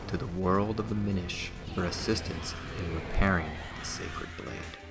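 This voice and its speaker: A man with a very deep, low pitch at a fairly slow pace, with music in the background. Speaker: gameplay commentator. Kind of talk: recap narration. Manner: soft-spoken.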